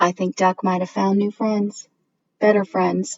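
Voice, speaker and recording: A woman puts on a character voice, soft-spoken throughout. She keeps a moderate pace at medium pitch. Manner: sad.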